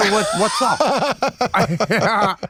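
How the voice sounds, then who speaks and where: A man speaks in a high voice with a Long Island accent. Background noise is noticeable throughout. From US Northeast, Long Island. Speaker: comedy podcast co-host. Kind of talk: casual chat.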